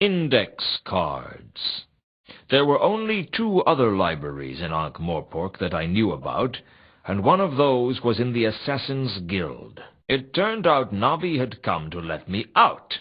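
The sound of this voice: Putting on a character voice, a man speaks at a fairly slow pace and a fairly low pitch, with a slightly husky edge and very wide pitch swings.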